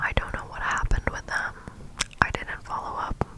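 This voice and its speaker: Whispering, a woman can be heard through noticeable background noise. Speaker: ASMR creator. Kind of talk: ASMR storytime. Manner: whispered, up-close.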